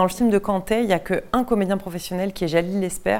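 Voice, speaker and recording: A woman talks at a medium pitch. The recording is very clean, with a silent background. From western France, Deux-Sèvres. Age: 30s. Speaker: theatre director. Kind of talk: interview. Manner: hesitant, many fillers.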